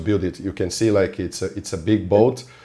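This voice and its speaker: Dark and mellow in tone, a man speaks at a fairly low pitch with a non-native accent. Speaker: podcast host and film fixer. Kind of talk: casual interview chat.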